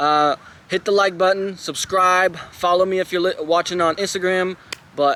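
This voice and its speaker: A man's high, bright, sharp voice, raised and projected, at a fairly slow pace with very even loudness and fairly even intonation. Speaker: vlogger. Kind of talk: casual vlog talk to camera.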